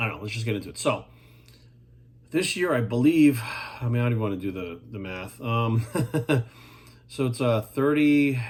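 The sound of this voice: A man at a medium pitch, slightly mellow in tone, with lively intonation and a moderate pace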